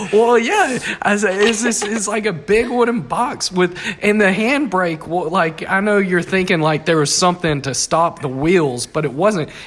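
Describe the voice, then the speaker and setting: A man with an American accent, high pitch, lively intonation, and moderate pace amid noticeable background noise. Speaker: podcast guest, host's brother. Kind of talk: casual chat.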